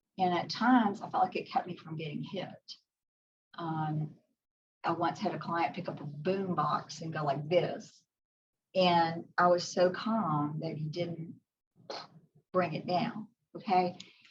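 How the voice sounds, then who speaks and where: Against audible room echo, a woman with a fairly low pitch speaks at a fairly slow pace with fairly even intonation and long, frequent pauses. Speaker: psychologist. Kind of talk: lecture.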